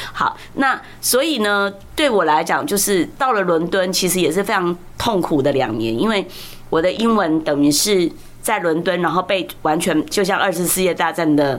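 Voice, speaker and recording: A woman's fairly low voice with lively intonation and very even loudness, against noticeable background noise. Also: moderate pace. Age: 60s. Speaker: law professor. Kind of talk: interview conversation. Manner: animated. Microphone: clipping, distorts when loud.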